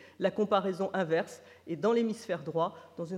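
A woman speaks at a fairly quick pace, her pitch fairly low for a woman, with ordinary pitch variation. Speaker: neuroscience researcher. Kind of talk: conference lecture. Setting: conference with audience. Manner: slightly trembling voice.

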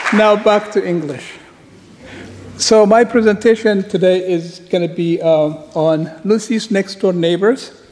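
Noticeable background noise sits behind a high-pitched man. He speaks fairly slowly with ordinary pitch variation. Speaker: paleoanthropologist. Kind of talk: conference lecture. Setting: conference stage with audience.

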